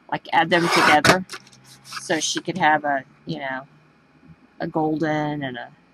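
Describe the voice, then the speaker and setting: Over noticeable background noise, a woman with a very deep, low pitch speaks at a moderate pace with fairly even intonation. She leaves long, frequent pauses. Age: 40s. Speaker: craft show host. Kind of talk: casual chat. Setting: live video stream. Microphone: cutting in and out.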